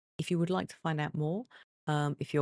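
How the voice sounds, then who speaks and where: Soft-spoken, a woman with a very deep, low pitch is recorded with a dry, close sound and no echo. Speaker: streamer. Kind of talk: gaming live stream. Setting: at home. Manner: soft-spoken, quiet.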